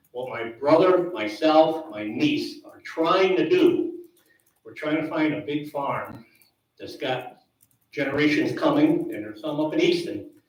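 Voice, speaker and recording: In an American accent, a man speaks at a fairly slow pace, his loudness swinging widely against audible room echo. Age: 70s. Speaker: dairy farmer. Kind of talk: public meeting comment.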